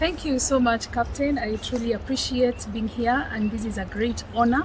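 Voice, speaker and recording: With noticeable background noise behind her, a woman with a Kenyan accent speaks with fairly even intonation. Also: fairly high pitch for a woman, moderate pace. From Kenya, Kiambu area. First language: Kikuyu. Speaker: counselor and men's advocate. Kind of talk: interview.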